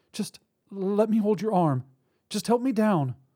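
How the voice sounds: A man puts on a character voice, high in pitch with a dark, mellow tone and a slightly husky edge. His intonation is lively, his pace fairly slow, and the recording very clean over a silent background.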